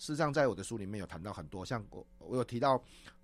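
Music sounds behind the speaker. He is a man talking very fast with lively intonation. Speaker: corporate trainer and presentation coach. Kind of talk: radio interview.

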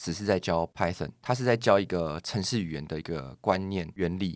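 A man with a very deep, low voice talks fairly quickly, his pitch varying in an ordinary way, on a very clean recording with a silent background. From Taiwan, Taipei. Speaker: data engineer. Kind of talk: casual interview.

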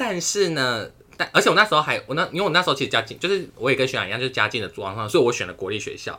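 A man talking at a very fast pace, his tone bright and sharp, on a very clean recording with a silent background. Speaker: podcast co-host, university student. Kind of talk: casual chat. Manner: animated.

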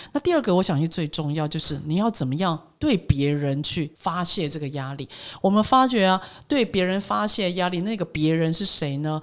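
With a Taiwanese accent, a woman speaks at a moderate pace in a fairly low pitch with lively intonation. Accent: Taiwanese Mandarin. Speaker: corporate trainer and author. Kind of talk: interview.

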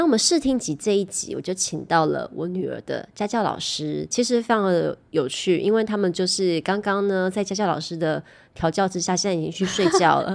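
A woman with an unremarkable speaking voice talks at medium pitch with ordinary pitch variation. Her pace is fairly quick, with hardly any pauses. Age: 40s. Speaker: podcast host and YouTuber. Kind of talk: casual chat.

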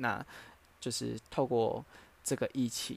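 In a very clean recording with a silent background, a man speaks at a medium pitch in a flat monotone. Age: 20s. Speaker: podcaster. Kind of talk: solo casual monologue. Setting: at home.

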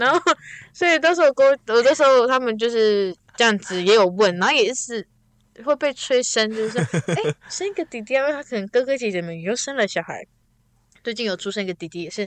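Animated and at a fairly quick pace, this voice swings very widely in pitch, with a dry, close sound and no echo. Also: woman, fairly high pitch for a woman. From Taiwan, Taitung. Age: 20s. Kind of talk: casual chat. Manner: animated, laughing.

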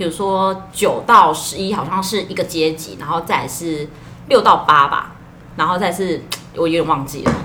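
In a room with audible echo, a woman with a slight Taiwanese accent speaks at a fairly low pitch, her intonation fairly even but her loudness swinging widely. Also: moderate pace. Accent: slight Taiwanese local accent in Mandarin. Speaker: farmers' association employee and podcast co-host. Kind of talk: casual chat.

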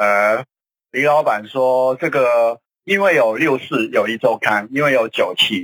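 In a dry, close recording with no echo, a man with a bright, sharp tone speaks at a medium pitch and a fairly slow pace, with ordinary pitch variation. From Hong Kong. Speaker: political commentator. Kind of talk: radio talk show discussion.

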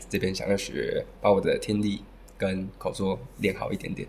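A man's fairly low-pitched voice comes across as somewhat breathy. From Taiwan. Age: 20s. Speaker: language school student. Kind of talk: interview.

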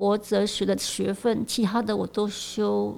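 A woman speaks at a fairly high pitch with a dark, mellow tone. Her pace is moderate. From Malaysia. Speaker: philosophy professor. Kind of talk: interview conversation.

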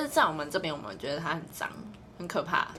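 There is noticeable background noise and audible room echo as a woman speaks at a fairly low pitch. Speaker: podcast co-host, part-time fast food worker and tutor. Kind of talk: casual chat. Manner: animated. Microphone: no microphone bought.

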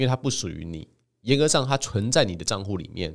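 On a very clean recording with a silent background, a man speaks at a very fast pace with lively intonation. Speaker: podcast host and author. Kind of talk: solo monologue.

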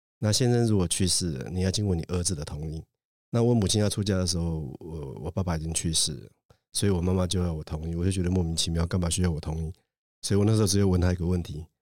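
A man talks at a very fast pace in a very deep, low pitch. His tone is dark and mellow, and the recording is very clean with a silent background. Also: ordinary pitch variation. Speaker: judge. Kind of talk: casual chat.

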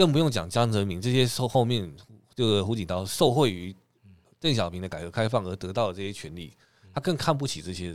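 An ordinary speaking voice with lively intonation, big swings in loudness and a fairly quick pace, on a very clean recording with a silent background. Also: man, fairly low pitch for a man. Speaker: podcast co-host. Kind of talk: casual chat.

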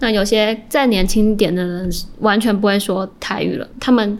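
A woman speaks in an unremarkable speaking voice. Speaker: journalism student. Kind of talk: interview.

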